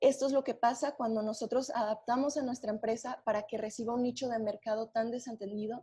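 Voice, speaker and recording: A woman with a Mexican accent speaks at a fairly quick pace in a fairly high pitch, her intonation fairly even. Her voice is somewhat breathy, with a dark, mellow tone. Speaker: webinar presenter. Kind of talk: webinar presentation.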